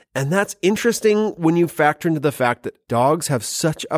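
A man with a fairly high pitch and a Canadian accent. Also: very clean recording, silent background. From Canada. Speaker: podcast host and high school chemistry teacher. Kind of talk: casual chat; quiz game hosting for students. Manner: animated.

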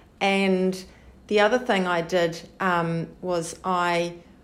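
With a New Zealand accent, a woman speaks at a medium pitch. Her intonation is monotone and flat. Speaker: twelve-step group member. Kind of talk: testimony. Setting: support group meeting. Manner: halting.

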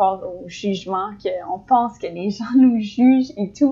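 This woman has a fairly high-pitched voice. She talks at a very slow pace. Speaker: podcast co-host, student. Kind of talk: casual chat.

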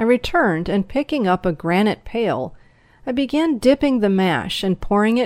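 The reading aloud is done in a natural voice, and the intonation rises and falls in a lively way.

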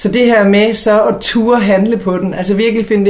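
A woman speaks at a moderate pace and medium pitch, her intonation fairly even. Audible room echo and noticeable background noise are present. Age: 40s. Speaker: columnist and podcast co-host. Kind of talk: casual chat.

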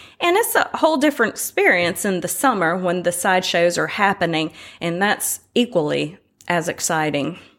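A woman with an American accent has a plain, everyday voice at a fairly low pitch. She speaks at a moderate pace with ordinary pitch variation. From North Carolina, Winston-Salem. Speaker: artist. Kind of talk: interview.

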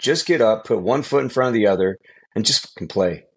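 A man with a Californian accent at medium pitch, talking at a fairly quick pace over a quiet background. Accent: Californian American English. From Southern California (San Bernardino). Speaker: high school football coach and former pro quarterback. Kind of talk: interview.

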